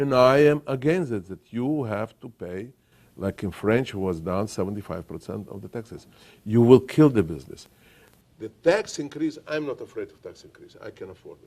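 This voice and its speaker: This man speaks at a medium pitch with lively intonation. His loudness swings widely, and his pace is moderate. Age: 60s. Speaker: billionaire industrialist. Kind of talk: interview. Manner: halting.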